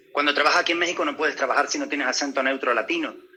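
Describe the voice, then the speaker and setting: A man speaks while noticeable background noise can be heard. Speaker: actor. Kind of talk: interview. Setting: video call. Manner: halting, many repetitions.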